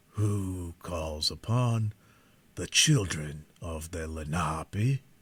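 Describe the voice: Using a put-on character voice, a man speaks very slowly in a very deep, low pitch that sounds guttural.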